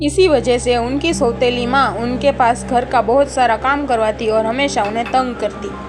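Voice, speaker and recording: With music in the background, the speaker talks with hardly any pauses and fairly even intonation. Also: woman, high pitch for a woman. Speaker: voice actor. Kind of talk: children's story narration. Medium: cartoon.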